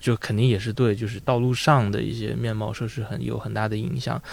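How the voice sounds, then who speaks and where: Very fast male speech on a very clean recording, the background silent. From northern China (Taiyuan, Shanxi). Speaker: audio editor. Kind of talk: casual chat.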